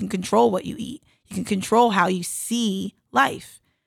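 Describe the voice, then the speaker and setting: A woman with an American accent talks at a medium pitch with lively intonation and vocal fry. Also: dry, close sound with no echo. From South Jersey, US. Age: 30s. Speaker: Olympic athlete and entrepreneur. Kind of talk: interview.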